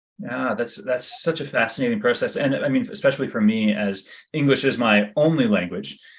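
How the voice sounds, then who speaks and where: A man with a Canadian accent talks at a fairly quick pace in an unremarkable speaking voice. His pitch is medium and his intonation lively. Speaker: magazine editor and interviewer. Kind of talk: interview.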